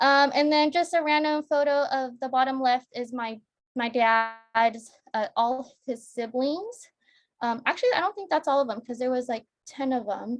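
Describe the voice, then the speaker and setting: A woman with an American accent speaks at a moderate pace in a high voice with ordinary pitch variation. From United States, immigrated from the Philippines at age three. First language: Sambal. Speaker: workshop presenter. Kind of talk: personal presentation. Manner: halting, many fillers.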